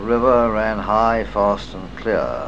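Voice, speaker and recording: There is noticeable background noise. Through it, a man speaks with an English accent. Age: 70s. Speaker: retired RAF wing commander. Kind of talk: memoir reading. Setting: cassette recording.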